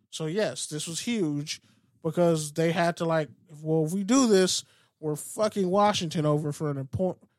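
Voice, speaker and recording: Speaking with an American accent, a man's voice sits high, with ordinary pitch variation and a moderate pace. The recording is very clean with a silent background and a dry, close sound with no echo. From US West Coast. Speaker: podcast host. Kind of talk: casual sports chat.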